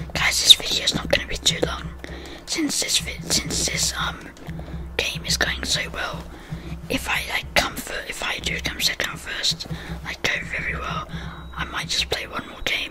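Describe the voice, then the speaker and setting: Whispering, a man leaves long, frequent pauses over noticeable background noise. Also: moderate pace. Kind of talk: casual gaming commentary with ASMR soft-spoken style. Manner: soft-spoken.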